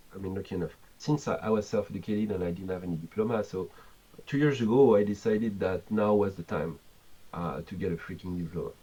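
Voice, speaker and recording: A man with a French accent speaks at a fairly quick pace, his fairly low voice dark and mellow. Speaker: game developer. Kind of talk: interview.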